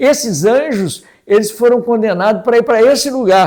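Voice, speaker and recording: Here is a man with a dark, mellow tone. His intonation is lively. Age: 70s. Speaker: lay preacher. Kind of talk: sermon. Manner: conversational.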